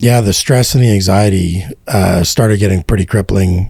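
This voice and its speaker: A man's fairly low, somewhat breathy voice with a dark, mellow tone and ordinary pitch variation. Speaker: real estate entrepreneur. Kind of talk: interview testimony. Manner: casual, many fillers.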